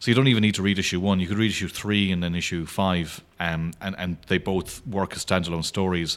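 This man has an Irish accent and a very deep, low pitch. He speaks at a fairly quick pace with fairly even intonation. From Ireland, County Clare. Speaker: comic book artist. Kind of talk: casual interview chat.

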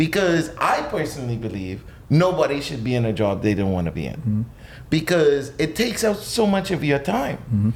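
Very wide pitch swings from a fairly high-pitched man amid noticeable background noise. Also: moderate pace. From Bahamas, New Providence. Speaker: chef. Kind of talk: casual interview.

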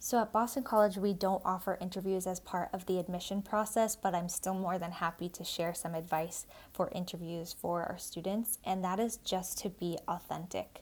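In an American accent, a woman with an unremarkable speaking voice talks at a medium pitch and moderate pace, with fairly even intonation and hardly any pauses, on a very clean recording with a silent background. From Massachusetts, South Shore. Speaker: college admissions officer. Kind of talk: interview.

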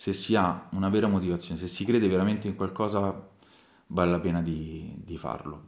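In a very clean recording with a silent background, a man speaks at a moderate pace with a very deep, low pitch and fairly even intonation. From Tarquinia, northern Lazio, Italy. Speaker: winemaker. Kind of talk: interview. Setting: at the winery.

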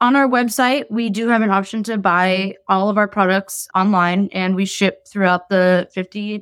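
This woman has a normal speaking voice, medium in pitch with ordinary pitch variation, delivered at a moderate pace on a very clean recording with a silent background. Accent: American. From Massachusetts. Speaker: food business owner. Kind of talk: interview. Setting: recorded interview.

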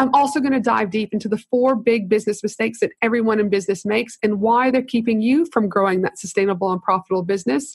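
A woman talks at a very fast clip with hardly any pauses, her fairly high voice somewhat breathy, its loudness very even and its pitch varying in an ordinary way. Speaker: podcast host, business consultant. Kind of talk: interview conversation. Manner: animated.

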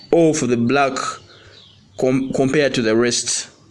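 A man's fairly high pitch varies in an ordinary way as he talks against noticeable background noise. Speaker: podcast host. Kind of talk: interview.

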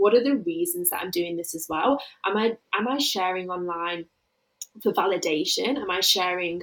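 Her medium-pitched voice carries an English Midlands accent as the woman speaks. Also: ordinary pitch variation, moderate pace. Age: 20s. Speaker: grief coach. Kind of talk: interview about personal grief.

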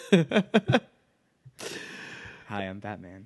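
A man puts on a gravelly character voice at a fairly low pitch.

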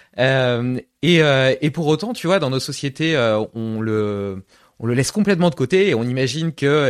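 A plain, everyday voice from a man at medium pitch, lively intonation, a dry, close sound with no echo and a quiet background. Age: 30s. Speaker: podcast host. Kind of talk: interview.

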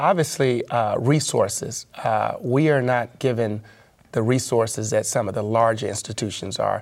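The speaker talks at a moderate pace. The voice carries a Memphis accent. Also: man, medium pitch for a man, ordinary pitch variation. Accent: Southern US (Memphis). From US South, Memphis, Tennessee. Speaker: asset management executive. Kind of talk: interview.

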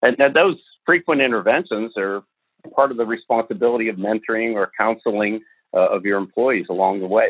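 In an American accent, a man uses an ordinary speaking voice at medium pitch, with ordinary pitch variation and a fairly quick pace. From northern US. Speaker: retired business executive and ethics author. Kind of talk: interview conversation.

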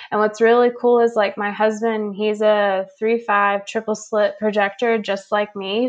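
A woman with a fairly high pitch speaks in a flat monotone. She leaves hardly any pauses. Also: quiet background. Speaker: human design reader and intuitive. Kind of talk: casual interview. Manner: calm, grounded.

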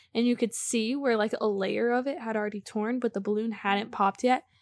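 A woman speaks with a normal speaking voice, fairly high in pitch. Her intonation stays fairly even. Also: dry, close sound with no echo. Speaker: guest. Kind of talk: casual chat.

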